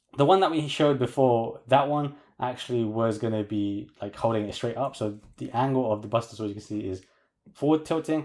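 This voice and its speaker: A man with a British accent speaks at a fairly quick pace with big swings in loudness, on a very clean recording with a silent background. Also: medium pitch for a man, ordinary pitch variation. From UK. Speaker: toy collector reviewer. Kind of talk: product review tutorial. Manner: casual.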